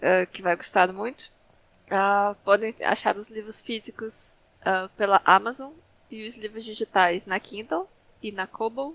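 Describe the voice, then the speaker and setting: A woman in a Brazilian accent at a fairly slow pace, with big swings in loudness and a dry, close sound with no echo. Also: medium pitch for a woman, fairly even intonation. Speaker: fantasy author. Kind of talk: interview. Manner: halting, many filler sounds.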